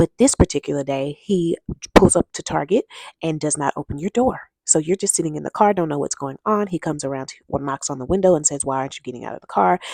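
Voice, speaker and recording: Speaking very fast with an American accent, a woman with a very deep, low pitch uses an animated tone, lively intonation and big swings in loudness, in a dry, close sound with no echo. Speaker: vlogger giving relationship advice. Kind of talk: casual monologue to camera. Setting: at her desk at work.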